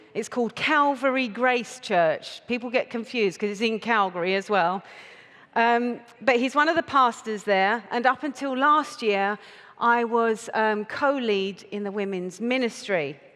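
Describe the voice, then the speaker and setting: A woman with an English accent at a fairly high pitch, ordinary pitch variation and a fairly slow pace. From United Kingdom. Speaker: conference speaker. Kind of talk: talk to a live audience. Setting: stage with audience.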